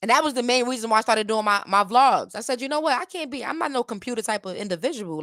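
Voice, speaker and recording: A woman with an American accent speaks at a very fast pace in a bright, sharp, animated tone with lively intonation. The recording is very clean and dry, close with no echo, over a silent background. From United States. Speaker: reaction YouTuber and rapper. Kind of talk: casual reaction commentary.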